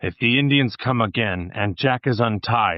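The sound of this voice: This is an unforced reading voice. Its pitch variation is ordinary.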